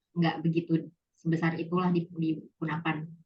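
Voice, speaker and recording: In a plain, everyday voice, a woman talks at a moderate pace. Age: 20s. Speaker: office worker. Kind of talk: casual interview. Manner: casual, code-switching, many fillers.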